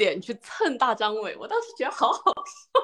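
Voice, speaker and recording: A woman at a moderate pace, with lively intonation. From Jiangsu, China. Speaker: podcast co-host. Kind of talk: casual chat. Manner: animated, laughs often.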